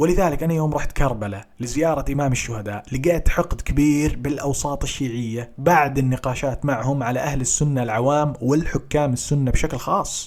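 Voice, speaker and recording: A man talks at a moderate pace with hardly any pauses. His pitch is fairly high, with ordinary variation. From Saudi Arabia, Qatif (Eastern Province). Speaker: Shia commentator in online debate. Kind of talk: debate.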